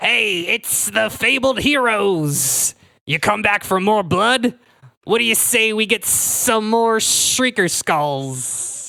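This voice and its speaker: A woman's gruff, put-on character voice at a fairly high pitch and very slow pace. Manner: gruff, taunting.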